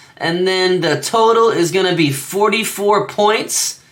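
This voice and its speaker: A man speaks in a raised, projected voice. His pitch is high for a man. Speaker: sports betting youtuber. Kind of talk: solo sports picks monologue. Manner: halting, many fillers and stutters; casual.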